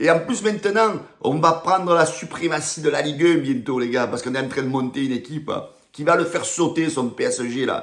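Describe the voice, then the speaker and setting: Against noticeable background noise, a man with a Marseille accent talks at a moderate pace in an animated tone with lively intonation. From Marseille, southern France. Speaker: football fan youtuber. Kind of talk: rant to camera.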